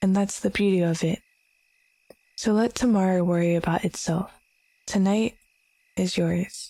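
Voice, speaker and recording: Soft-spoken and dark, mellow in tone, the voice keeps a fairly even intonation on a very clean recording with a silent background. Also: woman. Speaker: vtuber. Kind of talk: comfort ASMR roleplay.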